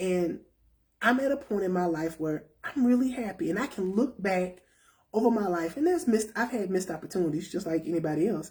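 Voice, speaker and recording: A woman with a somewhat breathy voice speaks fairly quickly, her intonation lively. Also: medium pitch for a woman. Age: 50s. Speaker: self-help talk show host. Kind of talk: casual talk to viewers.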